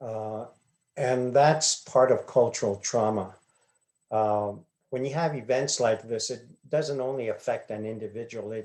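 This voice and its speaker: Fairly slow and fairly even in intonation, a man's speech moves along. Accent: Arizona. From Hopi reservation, Arizona. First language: Hopi. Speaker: glass artist. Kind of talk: interview answers. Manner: hesitant, many fillers.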